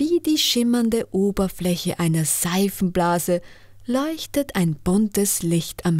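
The intonation moves in a lively way. It is plain reading aloud.

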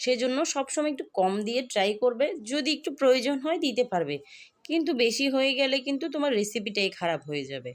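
A woman speaks in a high pitch with lively intonation. The recording is very clean, with a silent background. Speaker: cooking channel host. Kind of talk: cooking tutorial.

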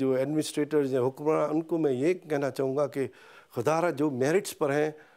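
A man speaks at a fairly slow pace with a fairly high pitch and fairly even intonation. The background is quiet. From Pakistan. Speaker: veterinarian; interviewee. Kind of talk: interview. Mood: earnest, calm. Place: home room. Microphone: lapel.

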